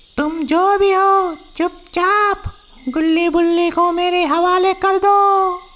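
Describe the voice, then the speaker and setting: A squeaky, cartoonish character voice, female-sounding, at an extremely high pitch and a very slow pace. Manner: cold, commanding.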